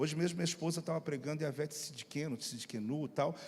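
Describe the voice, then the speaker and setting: Using an animated tone, a man with a fairly high pitch speaks with ordinary pitch variation. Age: middle-aged. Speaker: pastor. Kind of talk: sermon. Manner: fast.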